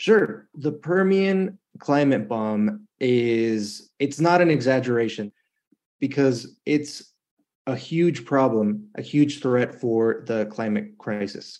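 A man with an American accent and lively intonation at a very slow pace. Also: medium pitch for a man. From El Paso, Texas / Ciudad Juarez border region. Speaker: environmental field researcher. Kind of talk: interview. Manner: animated.

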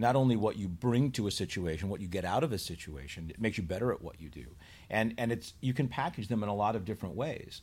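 Recorded very cleanly against a silent background, a man with an American accent speaks very fast in a fairly low, somewhat breathy voice with lively intonation. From Chicago, US Midwest. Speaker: university partnerships executive. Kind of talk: interview conversation. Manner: halting, repeats words.

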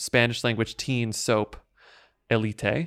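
An unremarkable speaking voice from a man at medium pitch and moderate pace, dry and close with no echo, on a very clean recording with a silent background. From Texas. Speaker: podcast host. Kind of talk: casual chat.

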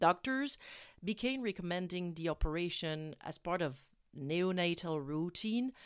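A woman with a French accent uses lively intonation at a fairly low pitch on a very clean recording with a silent background. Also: fairly slow pace. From France. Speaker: parenting podcast host. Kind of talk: scripted narration. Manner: halting.

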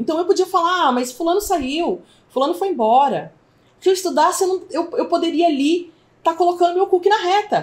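A woman speaks at an extremely high pitch with ordinary pitch variation. Her pace is fairly quick. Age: 40s. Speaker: school owner and online entrepreneur. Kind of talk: testimony. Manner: halting.

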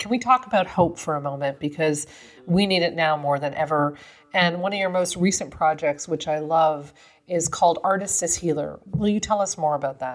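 A woman talks at a moderate pace with an ordinary speaking voice. Her pitch sits fairly low, with ordinary pitch variation. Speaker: podcast host. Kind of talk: interview conversation.

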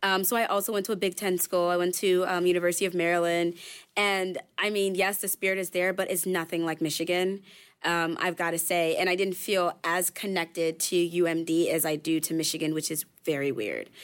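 A woman with an American accent, fairly low-pitched and fairly quick, in a monotone, flat delivery at very even loudness, on a very clean recording with a silent background. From US East Coast. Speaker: business school student. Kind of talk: casual round-table chat.

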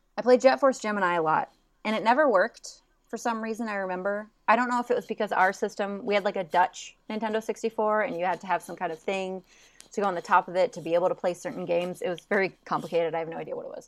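Talking at a very fast pace, a woman with a medium pitch and ordinary pitch variation is heard on a very clean recording with a silent background. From grew up in Europe (Netherlands and Germany). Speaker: games industry guest. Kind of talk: casual chat.

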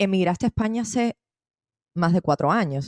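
In a very clean recording with a silent background and a dry, close sound with no echo, a woman speaks at a moderate pace with a fairly low pitch, a dark, mellow tone and ordinary pitch variation. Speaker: podcast host. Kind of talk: interview.

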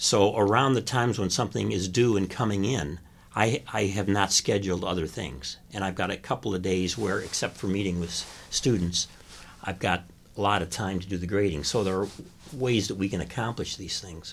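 Using an unremarkable speaking voice with an American accent, a man talks fairly quickly at a fairly low pitch with ordinary pitch variation. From US Midwest (Chicago). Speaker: retired communications professor, author. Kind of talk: interview.

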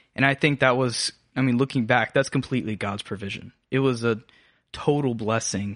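A normal speaking voice with an American accent moves at a moderate pace with fairly even intonation over a quiet background. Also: man, medium pitch for a man. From US South, North Georgia (Habersham County). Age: 20s. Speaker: college student podcast co-host. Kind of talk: casual chat, personal testimony interview.

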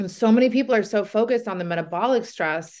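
A woman talks fairly quickly in an ordinary speaking voice, her pitch varying in an ordinary way. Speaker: podcast host and weight loss coach. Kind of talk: interview, casual chat.

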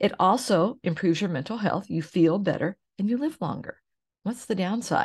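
A woman with an American accent, medium pitch, warm tone and somewhat breathy voice, lively intonation at a moderate pace, against a quiet background. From Oklahoma, US. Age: 60s. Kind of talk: solo podcast monologue. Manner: warm, conversational.

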